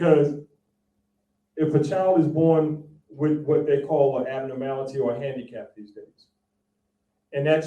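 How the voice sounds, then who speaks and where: A man's fairly high voice with a dark, mellow tone and an American accent, plus audible room echo. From South Texas. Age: 60s. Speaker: spiritual teacher and priest. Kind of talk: public talk. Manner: animated.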